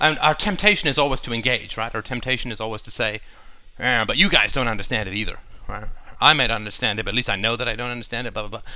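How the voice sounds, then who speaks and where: Audible room echo follows a man who talks at a very fast pace, his medium pitch showing ordinary variation. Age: 40s. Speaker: podcast host. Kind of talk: casual monologue while cleaning. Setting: bathroom at home.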